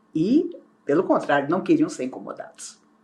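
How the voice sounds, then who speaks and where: A somewhat breathy voice with a dark, mellow tone moves at a moderate pace through very wide pitch swings. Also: woman. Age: 60s. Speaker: spiritist speaker. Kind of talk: spiritual talk.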